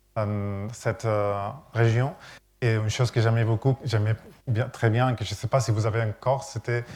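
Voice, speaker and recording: Somewhat breathy man's voice with monotone, flat intonation. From Catalonia, Spain. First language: Catalan (speaking French). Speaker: architect. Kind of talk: lecture. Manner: halting.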